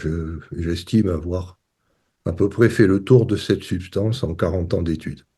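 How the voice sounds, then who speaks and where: A man speaks at a very slow pace in a dark, mellow, somewhat breathy tone. The background is quiet. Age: 60s. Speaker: retired professor, water scientist. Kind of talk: interview.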